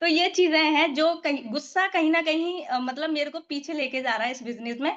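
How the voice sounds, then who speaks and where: A woman's high-pitched voice proceeds at a moderate pace. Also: ordinary pitch variation. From Uttar Pradesh, India. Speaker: network marketing team member. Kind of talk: casual group discussion.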